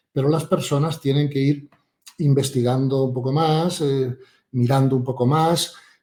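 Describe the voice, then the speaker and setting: A man's somewhat breathy voice, fairly high in pitch, with a dark, mellow tone, monotone, flat intonation, and a fairly slow pace. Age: 60s. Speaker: author and spiritual teacher. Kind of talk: interview conversation.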